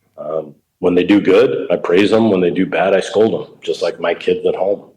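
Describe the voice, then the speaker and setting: At a moderate pace, a man speaks with a Chicago accent. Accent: Chicago American English. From Chicago, US Midwest. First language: Italian. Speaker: baseball coach. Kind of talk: casual interview.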